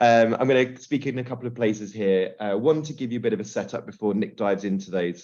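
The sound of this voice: A man with a fairly low pitch and slightly mellow tone talks at a fairly quick pace, keeping his intonation fairly even.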